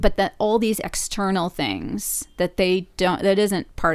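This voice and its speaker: A woman's medium-pitched voice with vocal fry at a fairly slow pace, in a very clean recording with a silent background. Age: 40s. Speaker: filmmaker. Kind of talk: interview.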